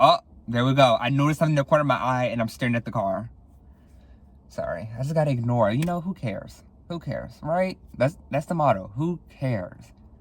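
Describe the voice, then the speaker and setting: A man talks at a very fast pace in a fairly high pitch. His voice is somewhat breathy. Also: ordinary pitch variation. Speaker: podcast host. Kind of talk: casual chat. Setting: near a window, car outside. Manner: slurred, halting.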